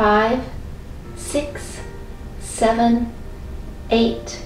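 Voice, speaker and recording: The woman's pitch varies in an ordinary way. Room echo is audible, along with light background noise. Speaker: exercise instructor. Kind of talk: guided workout instruction. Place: home room. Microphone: camera far.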